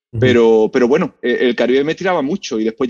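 Heard in a dry, close sound with no echo, a man with an ordinary speaking voice talks at a medium pitch with lively intonation. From Spain, Seville. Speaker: history professor. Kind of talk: interview.

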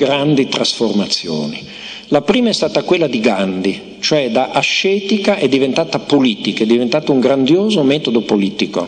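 A man's pitch swings very widely as he talks amid noticeable background noise. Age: old. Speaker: philosopher. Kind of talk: lecture.

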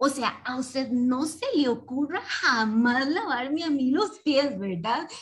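Her voice is high, and her intonation is lively. The woman speaks at a fairly slow pace. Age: 30s. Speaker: participant. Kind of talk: casual chat. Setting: video call. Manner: calm.

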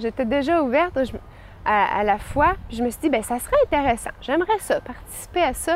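Over noticeable background noise, a woman talks at a moderate pace with very wide swings in pitch. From Quebec City. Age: 20s. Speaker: young churchgoer giving a faith testimony. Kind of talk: testimony.

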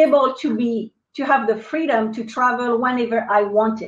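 A woman with a French accent speaks at a moderate pace with a high pitch and ordinary pitch variation. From France. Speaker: business coach and marketing expert. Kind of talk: interview. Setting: live online video broadcast.

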